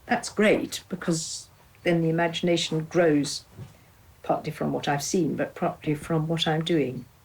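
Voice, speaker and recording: A somewhat breathy woman with a fairly low pitch speaks at a fairly slow pace and keeps her intonation fairly even. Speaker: artist and retired teacher. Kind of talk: interview reminiscence. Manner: halting.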